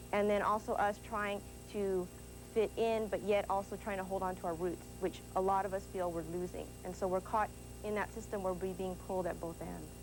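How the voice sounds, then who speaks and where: A woman at a fairly quick pace over music in the background. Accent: American. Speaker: college student. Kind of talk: panel discussion.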